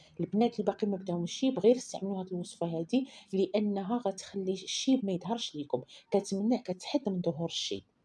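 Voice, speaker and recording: A woman's somewhat breathy, dark, mellow voice at medium pitch, fairly quick in pace, with ordinary pitch variation. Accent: Moroccan. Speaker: beauty recipe vlogger. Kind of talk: tutorial. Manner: casual, repetitive.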